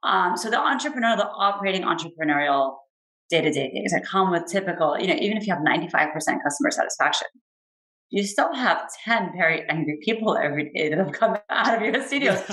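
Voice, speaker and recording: Speaking at a very fast pace, a woman uses a medium pitch with very wide pitch swings and a bright, sharp tone. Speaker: venture capital investor. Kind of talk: interview.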